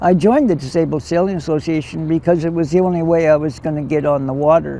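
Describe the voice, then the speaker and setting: With a Canadian accent, a man speaks very fast in a fairly high pitch with fairly even intonation over noticeable background noise. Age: 70s. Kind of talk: interview testimony.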